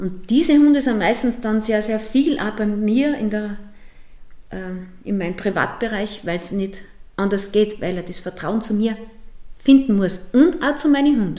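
A woman's fairly high, lively voice at a moderate pace, with long, frequent pauses and noticeable background noise. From Upper Austria, Mühlviertel. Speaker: dog boarding kennel owner. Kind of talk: interview. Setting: at her dog kennel, dogs around.

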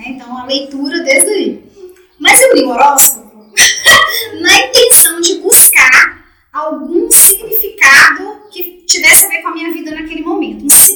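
A woman's raised, projected voice at an extremely high pitch, with lively intonation and big swings in loudness. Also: fairly slow pace. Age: 40s. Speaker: podcast host and dance teacher. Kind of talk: casual chat.

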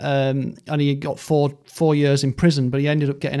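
A man with an ordinary speaking voice and a fairly high pitch speaks at a moderate pace in a very clean recording with a silent background. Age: 40s. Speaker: music expert co-host. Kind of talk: casual chat.

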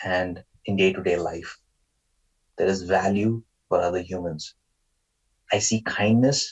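A man's very deep, low voice in a Marathi accent, fairly slow with long, frequent pauses and fairly even intonation. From Maharashtra, India. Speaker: guest, Indian immigrant to the US. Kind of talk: casual interview conversation. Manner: hesitant, filler-heavy.

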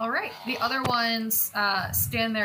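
A woman speaks over noticeable background noise. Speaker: game master of a tabletop role-playing podcast. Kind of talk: live tabletop game narration.

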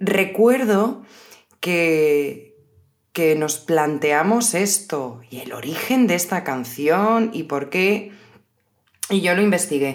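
Speaking at a very slow pace, a woman uses a fairly low pitch and lively intonation. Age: 30s. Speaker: podcast host, Spanish teacher. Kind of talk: casual chat for language learners. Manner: slower than usual pace.

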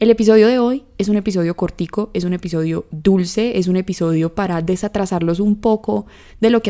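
Fairly quick in pace, a woman speaks in a medium pitch with a dark, mellow tone and ordinary pitch variation. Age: 20s. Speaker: podcast host. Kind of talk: casual solo monologue.

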